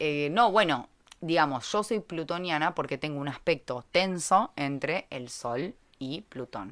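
The voice is animated, with lively intonation and a Rioplatense accent at a fairly slow pace. Loudness swings a lot in this very clean recording with a silent background. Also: woman, very deep, low pitch for a woman. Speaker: astrology podcast host. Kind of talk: casual chat.

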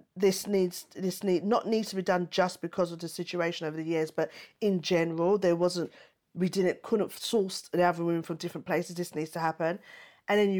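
A woman with an East London accent, on a very clean recording with a silent background. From East London, England. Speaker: stand-up comedian and TV panelist. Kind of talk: interview conversation.

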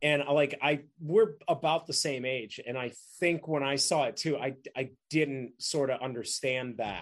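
The voice is an ordinary speaking voice at a fairly slow pace. Its pitch varies in an ordinary way. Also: man, fairly high pitch for a man. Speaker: actor. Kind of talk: casual chat.

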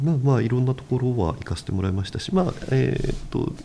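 A man at medium pitch speaks with very wide pitch swings. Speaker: construction company president. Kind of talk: interview. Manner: hesitant, many fillers.

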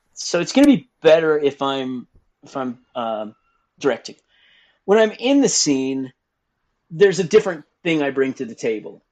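A man with an American accent, fairly high in pitch, with lively intonation, big swings in loudness, a moderate pace and long, frequent pauses. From Texas, Dallas. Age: 50s. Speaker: adult website owner and podcast host. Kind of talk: interview conversation.

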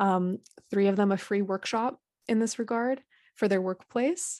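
A woman talks at a moderate pace and medium pitch in a plain, everyday voice. The sound is dry and close with no echo, over a quiet background. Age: 20s. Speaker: founder of a grief support organization. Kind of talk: interview.

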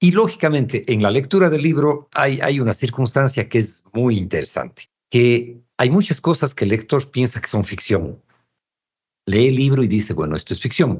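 A man with a medium pitch speaks at a moderate pace, somewhat breathy and with lively intonation. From Ecuador, Cuenca. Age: 60s. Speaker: visual artist and author. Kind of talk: casual chat.

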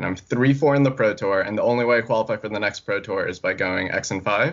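A man with an unremarkable speaking voice, ordinary pitch variation and a moderate pace. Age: 20s. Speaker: competitive card game player. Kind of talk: casual chat.

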